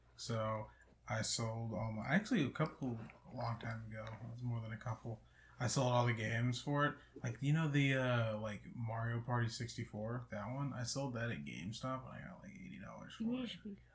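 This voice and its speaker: Soft-spoken and somewhat breathy, a man talks at a medium pitch and a moderate pace with ordinary pitch variation. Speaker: podcast co-host. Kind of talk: casual chat. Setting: friend's house, one shared mic. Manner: quiet, soft-spoken. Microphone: too quiet on the shared mic.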